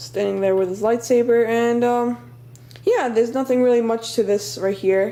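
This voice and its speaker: A woman at a fairly high pitch and moderate pace, ordinary pitch variation, with noticeable background noise. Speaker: toy building hobbyist video maker. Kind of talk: casual show-and-tell tutorial. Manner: hesitant, many fillers and restarts.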